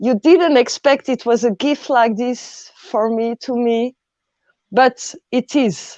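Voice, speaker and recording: With a French accent, a woman talks at a very slow pace and a high pitch, with a dark, mellow tone and ordinary pitch variation, the sound dry and close with no echo over a quiet background. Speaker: artist. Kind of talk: panel discussion.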